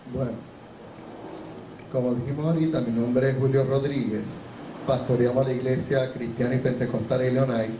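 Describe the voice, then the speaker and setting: A man's medium-pitched, monotone voice with flat intonation at a fairly quick pace, with audible room echo and noticeable background noise. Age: 60s. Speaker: pastor. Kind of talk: testimony. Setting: church.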